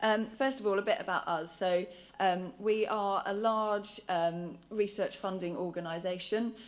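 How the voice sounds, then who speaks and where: A woman at a moderate pace, with ordinary pitch variation and audible room echo. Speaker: charity patient involvement lead. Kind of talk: conference talk. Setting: conference stage with audience. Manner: hesitant, many fillers.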